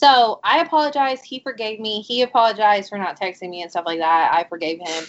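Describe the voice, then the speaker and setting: A woman's fairly quick, fairly high-pitched delivery in an unremarkable speaking voice, with lively intonation and big swings in loudness. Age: 30s. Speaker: podcast co-host. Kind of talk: casual chat. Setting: recording with remote participant on call.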